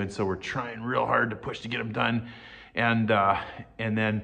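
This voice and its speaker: This man has an unremarkable speaking voice, fairly low in pitch. He talks at a moderate pace with fairly even intonation. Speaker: channel host. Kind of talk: casual vlog chat. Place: home room. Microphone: phone near.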